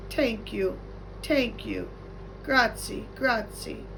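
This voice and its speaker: A soft-spoken, put-on character voice speaks at a very slow pace. Loud background noise runs underneath. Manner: soft, gentle, polite.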